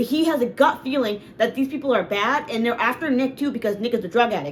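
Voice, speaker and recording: Noticeable background noise surrounds a woman speaking at a high pitch. She moves at a fairly quick pace with lively intonation. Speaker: reaction youtuber. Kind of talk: reaction commentary. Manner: animated.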